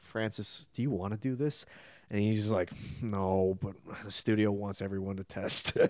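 A man's fairly low voice at a moderate pace, with fairly even intonation and long, frequent pauses. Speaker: youth pastor. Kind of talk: casual chat.

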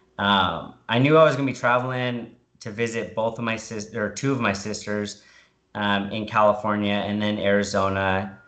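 A man's fairly low voice with fairly even intonation at a moderate pace, in a room with audible echo. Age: 30s. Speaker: military service member and keto dieter. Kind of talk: casual interview.

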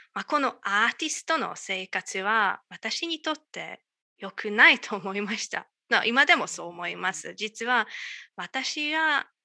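Over a quiet background, a woman with a Hungarian accent speaks in a bright, sharp tone. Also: dry, close sound with no echo. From Hungary, Budapest area. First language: Hungarian (speaking Japanese). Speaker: astronomer, Japanese learner. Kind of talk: casual interview. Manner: halting.

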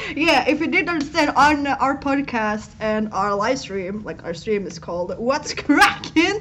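A woman speaks at a fairly slow pace with hardly any pauses, her high pitch making very wide swings. Her loudness also swings widely, over noticeable background noise. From Norway. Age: 20s. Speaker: live streamer. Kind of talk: casual chat. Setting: live stream. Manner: animated.

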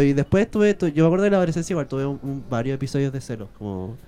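Very fast, lively speech from a man at a fairly high pitch, with music in the background. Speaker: podcast co-host. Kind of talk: casual chat. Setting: bar.

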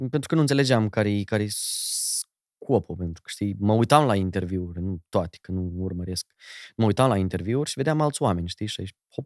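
Using a plain, everyday voice, a man with a fairly low pitch speaks at a moderate pace with lively intonation, the sound dry and close with no echo on a very clean recording with a silent background. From Moldova. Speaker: radio and TV presenter, wedding host. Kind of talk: casual chat.

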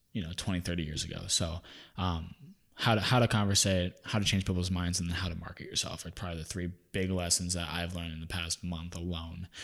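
A man with a very deep, low pitch at a very fast pace, on a very clean recording with a silent background. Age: 20s. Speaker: podcast host, wedding business owner. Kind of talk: casual chat; scripted outro.

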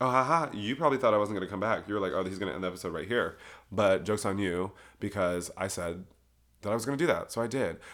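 A man talks very fast in an animated tone with a fairly low pitch. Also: ordinary pitch variation. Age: 20s. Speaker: solo podcast host. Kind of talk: casual monologue. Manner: animated, laughing often.

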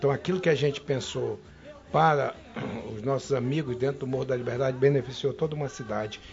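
A man talks at a moderate pace with a fairly high pitch. Noticeable background noise runs under his voice. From Manaus, Amazonas, Brazil. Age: 60s. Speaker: federal congressman. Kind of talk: interview.

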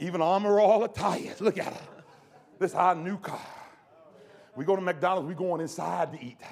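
With an animated tone and a high pitch, a man speaks at a moderate pace with ordinary pitch variation, long, frequent pauses and big swings in loudness, over noticeable background noise. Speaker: preacher. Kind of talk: sermon. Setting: church camp meeting with congregation.

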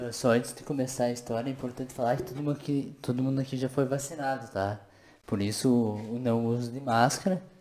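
Fairly quick and fairly even in intonation, a man speaks in a dark, mellow tone. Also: medium pitch for a man. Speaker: podcast co-host. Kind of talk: casual chat.

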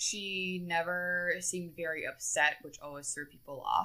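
Speaking at a fairly slow pace, a woman has a fairly low pitch and a bright, sharp tone. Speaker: podcast host. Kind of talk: solo true-crime storytelling. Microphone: new microphone and headphones.

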